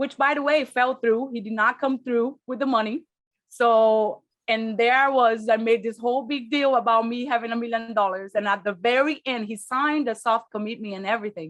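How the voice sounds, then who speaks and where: A woman speaks with a non-native accent at a fairly quick pace. Her fairly high pitch follows a fairly even intonation. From Brazil, raised partly in Spain. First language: Portuguese. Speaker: real estate investor. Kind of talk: interview.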